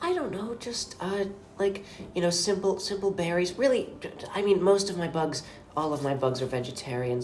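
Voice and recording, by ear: A woman talks at a moderate pace with a slightly mellow tone. Audible room echo surrounds her voice.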